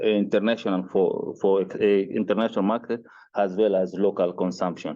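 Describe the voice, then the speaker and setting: In a Mozambican accent, a man speaks with fairly low pitch and fairly even intonation. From Mozambique. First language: Portuguese. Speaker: agricultural researcher. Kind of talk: research presentation. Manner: halting, many hesitations.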